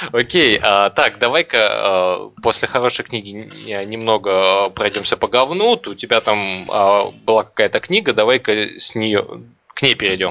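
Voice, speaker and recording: With an ordinary speaking voice, a man talks at a fairly slow pace in a fairly low pitch with ordinary pitch variation. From Kazakhstan, Almaty. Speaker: podcast host. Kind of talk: casual chat.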